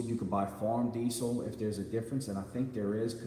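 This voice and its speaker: Against noticeable background noise and audible room echo, a man of medium pitch speaks with monotone, flat intonation. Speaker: live streamer. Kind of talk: casual chat reading viewer comments. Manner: halting, stuttering.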